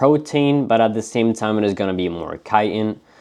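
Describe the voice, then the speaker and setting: A man talks with a non-native accent. His pitch is fairly low, with ordinary pitch variation. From not the US. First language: not English. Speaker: pet reptile keeper and breeder. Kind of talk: educational tutorial.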